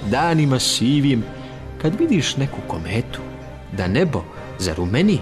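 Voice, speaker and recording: Music plays in the background as a man speaks at medium pitch with very wide pitch swings. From Serbia. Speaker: voice-over artist, radio and TV presenter. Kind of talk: poetry reading.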